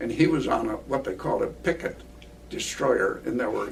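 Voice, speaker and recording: With an American accent, a man speaks in a space with audible room echo. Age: 90s. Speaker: war veteran and retired professor. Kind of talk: interview recollection.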